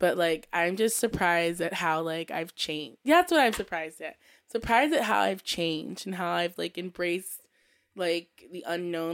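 A woman in an unremarkable speaking voice, fairly low in pitch, at a moderate pace, in a very clean recording with a silent background. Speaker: podcast host. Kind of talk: casual chat.

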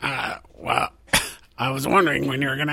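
Putting on a character voice, a man with a raspy, medium-pitched tone speaks at a moderate pace. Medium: actual play. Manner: sardonic, cheeky.

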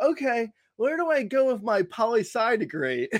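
A man with an American accent speaks at an extremely high pitch, his tone animated and his intonation lively. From New Jersey. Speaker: fantasy baseball writer and former comedy writer. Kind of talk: casual chat.

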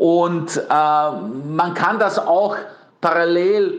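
A high-pitched man speaks with lively intonation in a room with audible echo. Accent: Bosnian. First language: Bosnian (speaking German). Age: 40s. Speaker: PR consultant. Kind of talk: interview. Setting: pre-recorded interview, outside studio.

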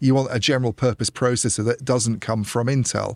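A man's ordinary speaking voice, medium in pitch and fairly quick in pace, with a dry, close sound free of echo on a very clean recording against a silent background. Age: middle-aged. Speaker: telecoms journalist. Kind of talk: casual chat. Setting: studio.

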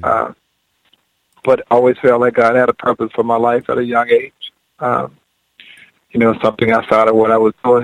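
Speaking at a fairly quick pace with long, frequent pauses, a man with an American accent keeps a medium pitch and fairly even intonation, recorded dry and close with no echo. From Georgia, US South. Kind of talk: casual radio interview chat. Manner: relaxed, folksy, storytelling.

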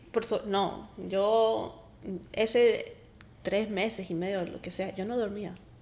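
Speaking at a very slow pace with fairly even intonation, a woman with a fairly high pitch is heard amid audible room echo. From Colombia, raised mostly in US. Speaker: wife of guest. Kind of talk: testimony.

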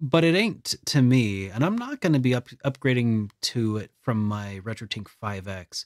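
An unremarkable speaking voice from a man, lively in intonation, moderate in pace with hardly any pauses, on a very clean recording with a silent background. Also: medium pitch for a man. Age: 30s. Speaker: gaming news podcast host. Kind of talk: casual chat.

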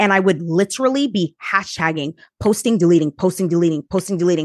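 A medium-pitched woman at a fairly quick pace, ordinary pitch variation, in a dry, close sound with no echo and a quiet background. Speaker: podcaster and YouTuber. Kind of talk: casual interview chat.

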